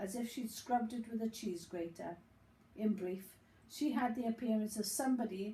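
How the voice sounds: A natural reading voice is heard here. It shows ordinary pitch variation.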